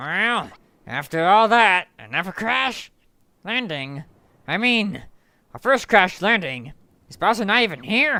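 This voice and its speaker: In a put-on character voice at a middle pitch, someone speaks with a raised, projected delivery at a fairly slow pace, leaving long, frequent pauses. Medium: virtual streamer. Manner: reading text aloud.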